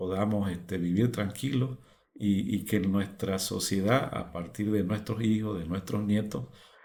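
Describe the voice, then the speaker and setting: A man's fairly low voice, dark and mellow in tone, with audible room echo. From Bolivia, Beni lowlands. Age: 60s. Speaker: fish farmer, former broadcaster. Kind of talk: testimony. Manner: halting.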